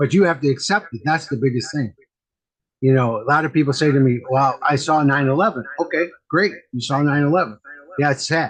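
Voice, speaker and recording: A man with an American accent, fairly high in pitch with ordinary pitch variation, at a fairly quick pace. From US Midwest, Wisconsin. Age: 60s. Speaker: medium and mentor. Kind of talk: casual chat. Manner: repetitive, halting.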